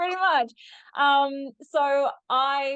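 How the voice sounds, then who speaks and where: A woman with an Australian accent. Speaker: human design teacher. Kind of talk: podcast interview.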